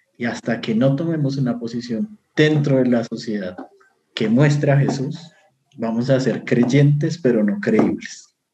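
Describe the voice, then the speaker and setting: With a Bogotá accent, a man speaks at a fairly slow pace and medium pitch, with ordinary pitch variation. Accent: Bogotá Colombian Spanish. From Colombia, Bogotá. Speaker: biblical scholar and university lecturer. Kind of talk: casual interview chat. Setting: video call.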